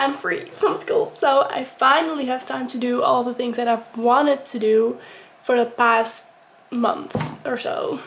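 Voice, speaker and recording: Speaking with a Dutch accent at a fairly slow pace, a woman uses a high pitch and ordinary pitch variation over noticeable background noise. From Netherlands. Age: young. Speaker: vlogger, college student. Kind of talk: casual get-ready-with-me vlog. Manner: casual, with many fillers.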